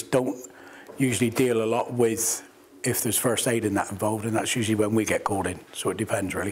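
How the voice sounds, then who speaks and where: A man with a medium pitch talks at a fairly quick pace, his intonation fairly even, over noticeable background noise. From Plymouth, England. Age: 60s. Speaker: lifeboat volunteer. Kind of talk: interview.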